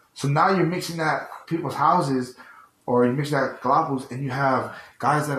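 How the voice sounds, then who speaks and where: A fairly high-pitched man at a moderate pace, with audible room echo and noticeable background noise. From US, Tongan heritage. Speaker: podcast co-host. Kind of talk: casual chat.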